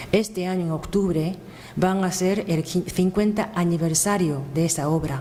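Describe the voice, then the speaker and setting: This woman speaks with a Japanese accent and fairly even intonation. Room echo is audible, and background noise is noticeable. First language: Japanese (speaking Spanish). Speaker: event presenter. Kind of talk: speech introducing a lecture. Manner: halting, with hesitations.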